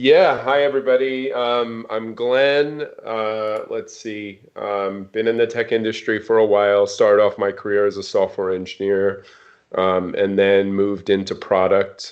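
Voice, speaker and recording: A man with an American accent talks at a fairly slow pace, his medium pitch showing ordinary variation. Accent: New York under a semi-West Coast. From New York, Long Island. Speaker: software product leader. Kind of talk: casual interview chat. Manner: many filler words.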